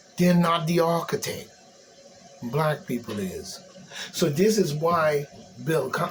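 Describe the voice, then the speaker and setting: A man with an American accent and a fairly high pitch, speaking at a moderate pace over noticeable background noise. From US Virgin Islands. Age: 60s. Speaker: commentator. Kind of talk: ranting monologue. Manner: animated.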